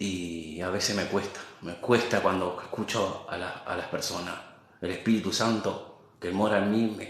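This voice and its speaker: Against audible room echo, a man talks at a fairly slow pace in a fairly low pitch. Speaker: lay preacher. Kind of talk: sermon. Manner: halting, sometimes stutters.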